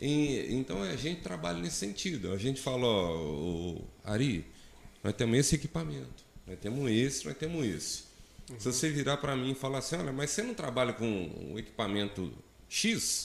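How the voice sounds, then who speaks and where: Medium pitch from a man, very wide pitch swings, and a moderate pace. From Brazil, Minas Gerais. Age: 40s. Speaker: solar energy entrepreneur. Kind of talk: casual interview. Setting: studio, live stream. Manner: halting, many fillers.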